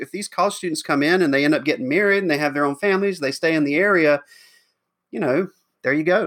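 With a Southern US accent, a man speaks at a high pitch with lively intonation. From US South, rural Georgia. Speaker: pastor. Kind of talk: interview. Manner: halting, many fillers and restarts.

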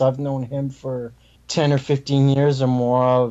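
An American accent at a fairly slow pace. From Canada. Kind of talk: casual chat.

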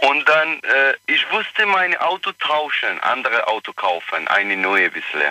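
A man talks at a fairly slow pace with hardly any pauses, in a dry, close sound with no echo. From Iraq. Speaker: caller. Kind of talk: phone-in call. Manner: halting.

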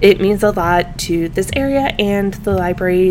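Noticeable background noise runs under this recording. A woman speaks at a medium pitch. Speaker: podcast host and reference librarian. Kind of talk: casual interview.

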